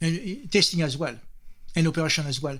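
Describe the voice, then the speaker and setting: A man with a French accent speaks at a fairly quick pace. His voice is fairly high, with ordinary pitch variation. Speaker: software architect. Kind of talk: interview.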